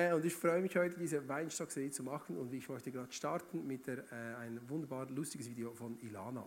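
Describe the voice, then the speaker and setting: Using an animated tone, a man speaks at a moderate pace. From Switzerland, Bern region. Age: 30s. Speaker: guest preacher. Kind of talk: sermon. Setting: church stage with audience.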